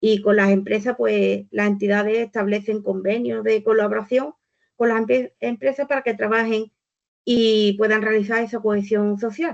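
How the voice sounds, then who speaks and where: A woman's fairly high-pitched voice, a normal speaking voice, with ordinary pitch variation at a moderate pace. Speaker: volunteering organization speaker. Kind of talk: webinar presentation.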